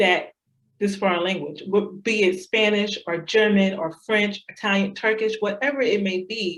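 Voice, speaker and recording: Her pitch is medium, and her pitch variation is ordinary. The woman speaks with an American accent at a moderate pace. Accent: Southern accent comes out at times. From US South. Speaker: assistant principal, former language teacher. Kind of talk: interview.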